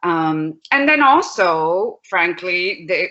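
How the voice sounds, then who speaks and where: Speaking very slowly with a Spanish accent, a woman uses lively intonation. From Puerto Rico. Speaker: law professor. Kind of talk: panel presentation.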